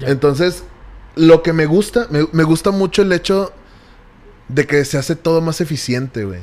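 A man with a Mexican accent speaks at a fairly slow pace, with long, frequent pauses, lively intonation and a fairly high pitch. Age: 20s. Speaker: digital marketing creative. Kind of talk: casual chat. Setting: studio.

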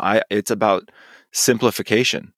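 A man with an ordinary speaking voice and a fairly low pitch speaks at a moderate pace, the sound dry and close with no echo, on a very clean recording with a silent background. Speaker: podcast host. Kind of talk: casual conversation.

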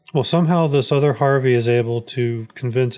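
A man speaks fairly quickly at a medium pitch, his tone dark and mellow and his intonation fairly even. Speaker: podcast co-host. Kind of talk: casual chat.

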